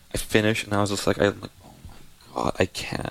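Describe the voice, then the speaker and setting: A man's fairly low voice comes with fairly even intonation. Noticeable background noise is present. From Canada, Surrey, British Columbia. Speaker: nightclub host. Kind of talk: casual chat.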